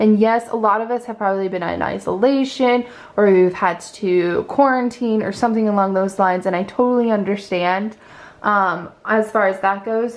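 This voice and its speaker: An unremarkable speaking voice belongs to a woman with a fairly high pitch. She talks at a moderate pace with ordinary pitch variation. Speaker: tarot card reader. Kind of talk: pick-a-card tarot reading. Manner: casual, encouraging.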